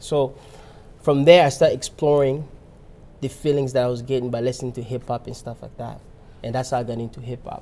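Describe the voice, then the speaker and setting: A man's medium-pitched, monotone, flat voice at a fairly quick pace, with big swings in loudness and long, frequent pauses. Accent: Congolese. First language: Lingala. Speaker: rapper. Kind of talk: interview. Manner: halting, many restarts.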